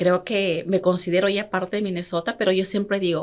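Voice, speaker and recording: Fairly quick, medium-pitched speech from a woman. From Peru, Andes (Huancayo, Junín). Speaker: entrepreneur and consumer rights activist. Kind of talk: interview.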